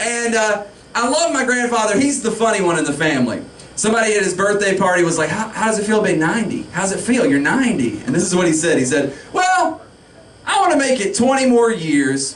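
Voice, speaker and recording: A man with a high pitch talks at a fairly quick pace with very wide pitch swings and very even loudness, with audible room echo and noticeable background noise. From US South, Pickens County, South Carolina. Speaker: stand-up comedian. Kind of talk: stand-up. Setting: stage with audience.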